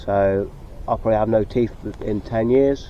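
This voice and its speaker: A mumbling man with a West Country accent at a moderate pace. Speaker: sea angler vlogger. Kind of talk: casual vlog talk to camera. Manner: halting.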